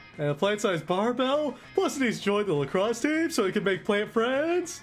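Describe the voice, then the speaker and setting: A man puts on a character voice with a high pitch at a moderate pace. Clear background noise can be heard. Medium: virtual streamer. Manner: excitable, eager, bro-ish.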